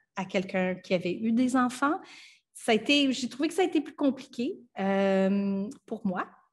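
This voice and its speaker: In a Franco-Ontarian accent, a woman speaks somewhat breathily at a fairly high pitch with ordinary pitch variation over a quiet background. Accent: Franco-Ontarian Canadian French. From Ottawa, Ontario (Franco-Ontarian, Acadian parents). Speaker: filmmaker and actress; actress. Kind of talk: radio interview. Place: home room. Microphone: webcam.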